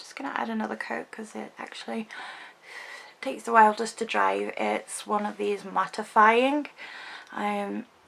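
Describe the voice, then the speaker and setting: Long, frequent pauses break up a woman's speech amid noticeable background noise. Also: moderate pace. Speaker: beauty vlogger. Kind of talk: makeup tutorial. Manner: hesitant, many ums.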